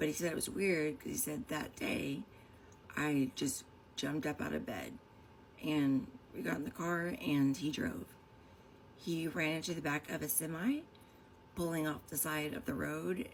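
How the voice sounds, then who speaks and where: With lively intonation, a woman with a very deep, low pitch and vocal fry speaks with long, frequent pauses. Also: moderate pace. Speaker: vlogger sharing personal story. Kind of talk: personal testimony monologue. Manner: rambling, hesitant.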